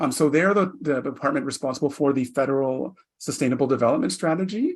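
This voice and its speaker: Delivered at a very fast pace with a Canadian accent, the speech has ordinary pitch variation. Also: man. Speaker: federal public servant, planning and reporting. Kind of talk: virtual panel presentation. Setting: virtual session.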